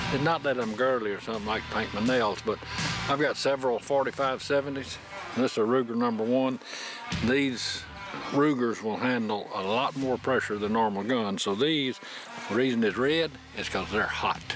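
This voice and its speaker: Noticeable background noise sits behind a man with an American accent who speaks at a moderate pace and a medium pitch. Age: 60s. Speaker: hunting show host. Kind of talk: outdoor show narration. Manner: animated.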